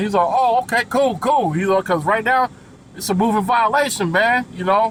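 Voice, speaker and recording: Fairly quick and animated, a man's high-pitched voice carries ordinary pitch variation. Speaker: truck driver vlogger. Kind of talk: casual storytelling vlog. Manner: fast.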